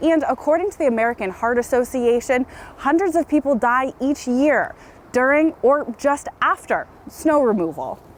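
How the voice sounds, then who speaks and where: Over noticeable background noise, a woman with a high pitch talks fairly slowly with lively intonation. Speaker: Capitol reporter. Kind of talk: television news reporter stand-ups.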